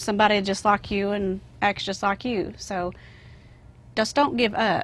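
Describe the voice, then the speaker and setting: A woman's medium-pitched voice in a Southern US accent, with vocal fry, fairly even intonation and a moderate pace. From US South. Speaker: actress. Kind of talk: interview.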